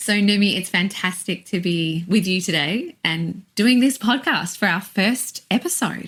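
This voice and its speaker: With an Australian accent, a woman of medium pitch talks at a fairly slow pace with hardly any pauses. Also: ordinary pitch variation. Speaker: singing teacher. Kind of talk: casual chat.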